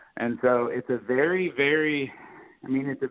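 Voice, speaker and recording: Here a man speaks in an American accent, with a medium pitch and lively intonation. He keeps a moderate pace in a normal speaking voice. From US South, South Florida. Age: 30s. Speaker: podcast host, card collector. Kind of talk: casual interview chat. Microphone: connection cut out.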